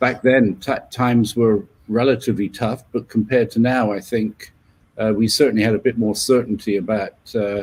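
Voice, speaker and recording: The man talks at a fairly slow pace. His intonation stays fairly even. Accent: English. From southern England, west of London. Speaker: leadership coach. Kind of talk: interview. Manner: halting, many fillers and repeats.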